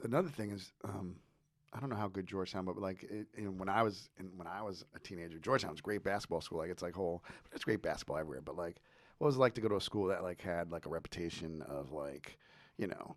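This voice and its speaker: A man with an American accent speaks at a very fast pace in an animated tone, his very deep, low voice showing ordinary pitch variation and big swings in loudness. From New Jersey. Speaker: podcast host. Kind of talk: interview.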